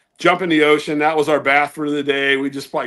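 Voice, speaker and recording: A fairly high-pitched man with an American accent speaks in a monotone, flat intonation. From US South, southeastern Virginia. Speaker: ham radio livestream host. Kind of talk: casual chat.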